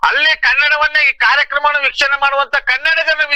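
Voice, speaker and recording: A man speaks in a raised, projected voice at an extremely high pitch. The sound is dry and close with no echo, though background noise is noticeable. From Mysore, Karnataka. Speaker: language activist. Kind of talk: phone interview. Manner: animated.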